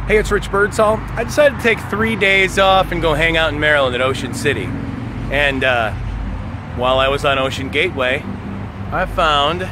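A man at a moderate pace with long, frequent pauses, a dry sound with no echo and noticeable background noise. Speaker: video host exploring abandoned places. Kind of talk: casual vlog chat. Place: forest. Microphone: phone near.

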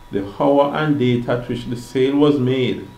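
A man talks at a fairly slow pace and a medium pitch. Audible room echo and noticeable background noise surround him. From Jamaica. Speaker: non-lawyer explaining laws online. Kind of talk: reading aloud.

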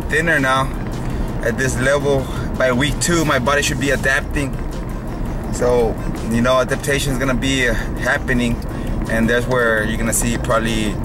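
Music plays in the background while a man talks at a moderate pace. He leaves long, frequent pauses. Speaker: fitness vlogger. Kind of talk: casual vlog chat. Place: car. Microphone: phone near.

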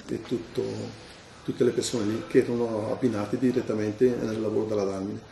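A man's monotone, flat delivery at a fairly quick pace, with noticeable background noise. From northern Italy, Bergamo area (Dalmine). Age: 50s. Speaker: retired factory worker. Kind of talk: interview. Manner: halting.

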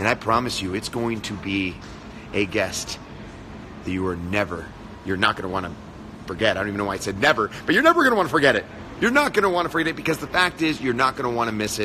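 Light background noise behind a man's very fast speech. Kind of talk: casual live stream chat. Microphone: phone near.

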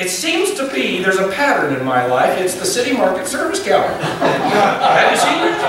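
Over noticeable background noise and strong room echo, a man speaks at a moderate pace with hardly any pauses. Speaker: pastor. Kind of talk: sermon. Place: church.

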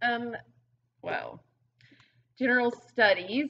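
A woman talks with a Southern US accent. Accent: Southern US (Georgia). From US South, rural Georgia. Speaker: fitness coach. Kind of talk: casual interview. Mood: relaxed, friendly. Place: gym. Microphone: webcam.

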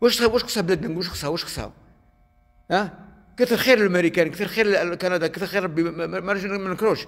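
A man talks in a high pitch with an animated tone. His pitch varies in an ordinary way, and the background is quiet. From Algeria. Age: 70s. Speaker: video blogger. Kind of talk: angry rant. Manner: animated, heated. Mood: angry, scolding. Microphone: phone near.

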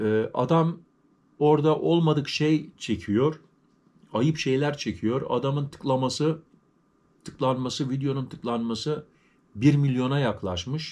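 At a very slow pace and with long, frequent pauses, a man speaks at a fairly high pitch. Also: ordinary pitch variation. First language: German stronger than Turkish (speaking Turkish). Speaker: YouTuber, vlogger. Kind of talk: casual vlog talk to viewers. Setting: at home. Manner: halting, with many fillers. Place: home room. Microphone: phone near.

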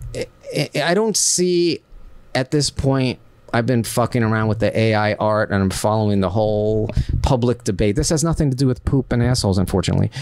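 An unremarkable speaking voice from a man, medium in pitch with ordinary variation, fairly quick, and very even in loudness. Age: 50s. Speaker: action figure artist and adult film performer. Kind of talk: casual chat.

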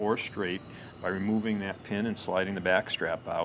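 The intonation is monotone and flat. Noticeable background noise sits behind the voice. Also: man. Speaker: presenter. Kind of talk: product demonstration. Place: office.

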